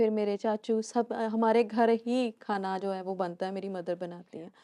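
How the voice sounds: A woman speaks at a fairly slow pace in a medium pitch, with a dark, mellow tone and little pitch movement. The sound is dry and close with no echo.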